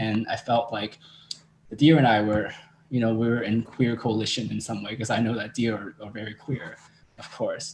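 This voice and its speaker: Speaking with a Cantonese accent, a man at medium pitch moves at a moderate pace with fairly even intonation and long, frequent pauses. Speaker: drag performer. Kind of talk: interview.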